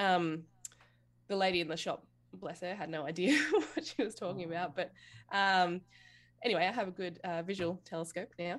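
A woman with an Australian accent at a fairly low pitch and fairly quick pace, ordinary pitch variation, long, frequent pauses, and a very clean recording with a silent background. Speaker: amateur astronomer. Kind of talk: casual chat.

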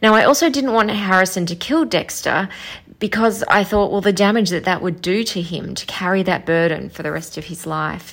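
A woman's medium-pitched voice with vocal fry, a moderate pace and ordinary pitch variation. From Melbourne, Australia. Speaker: listener caller. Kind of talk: voicemail feedback.

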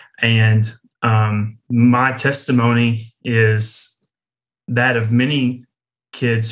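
Speaking with an East Tennessee accent, the voice is somewhat breathy and monotone, with flat intonation. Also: man. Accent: Southern US (East Tennessee). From East Tennessee (near Knoxville). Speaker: campus ministry worker. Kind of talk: testimony. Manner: polite.

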